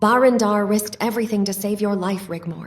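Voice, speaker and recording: Using a put-on character voice, a woman at a medium pitch talks at a fairly quick pace. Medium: machinima. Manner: gentle, caring.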